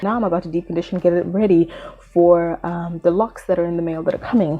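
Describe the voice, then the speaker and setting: A woman is speaking. She has a Zimbabwean accent. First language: Shona. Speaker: beauty vlogger. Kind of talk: casual vlog talk.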